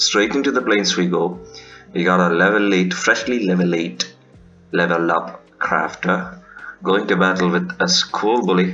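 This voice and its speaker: Over background music, a man with a very deep, low voice talks at a fairly slow pace, with ordinary pitch variation and very even loudness. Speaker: gaming youtuber. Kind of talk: gameplay commentary.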